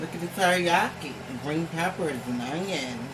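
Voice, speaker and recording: Over noticeable background noise, a woman with a fairly low pitch speaks at a very slow pace, using lively intonation and a playful tone. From Richmond, Virginia. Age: 20s. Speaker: entrepreneur, YouTuber. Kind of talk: casual cooking talk to camera. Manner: playful, profane.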